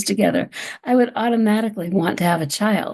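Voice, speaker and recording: Over noticeable background noise, a woman with an American accent speaks in a fairly high pitch with lively intonation. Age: 70s. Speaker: psychotherapist and author. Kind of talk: interview.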